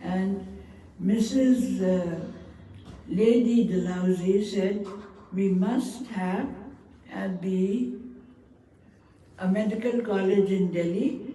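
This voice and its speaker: Very slow speech with fairly even intonation and long, frequent pauses rings with audible room echo. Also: woman, medium pitch for a woman. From northern India (Punjab). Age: 90s. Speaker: retired physician. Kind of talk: ceremonial speech. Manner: halting.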